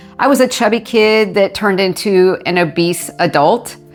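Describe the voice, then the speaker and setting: Music in the background behind a woman at a medium pitch. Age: 50s. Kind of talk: personal story to camera. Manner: candid, conversational.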